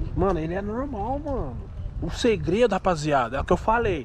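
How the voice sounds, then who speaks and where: A man's fairly quick speech sounds dry with no echo, while noticeable noise fills the background. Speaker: vlogger. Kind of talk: casual vlog chat, reassuring a child. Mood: calm, persuasive. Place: street. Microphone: phone near.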